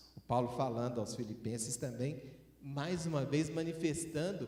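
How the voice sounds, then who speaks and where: A fairly high male voice with audible room echo and noticeable background noise. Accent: Minas Gerais. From Minas Gerais, Brazil. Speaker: preacher. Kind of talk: sermon.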